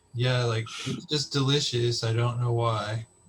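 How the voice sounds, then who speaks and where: A somewhat breathy man with an American accent, medium in pitch, fairly even in intonation, at a fairly slow pace. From Texas. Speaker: podcast host. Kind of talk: casual chat.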